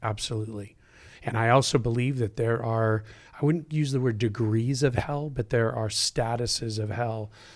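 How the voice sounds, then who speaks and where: A man speaks at a moderate pace with a medium pitch, fairly even intonation, an American accent, and a plain, everyday voice. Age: 50s. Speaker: pastor. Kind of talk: casual chat.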